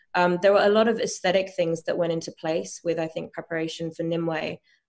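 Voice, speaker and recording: Against a quiet background, a woman speaks in a fairly low pitch. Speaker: actress promoting a series. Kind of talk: interview answer. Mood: calm, thoughtful. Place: home room. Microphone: video call.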